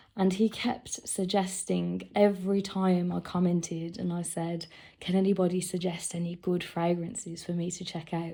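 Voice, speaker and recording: In a British accent, a woman with a fairly low pitch and a dark, mellow tone speaks in a flat monotone at a moderate pace with hardly any pauses, on a very clean recording with a silent background. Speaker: fragrance collector. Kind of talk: casual talk to camera.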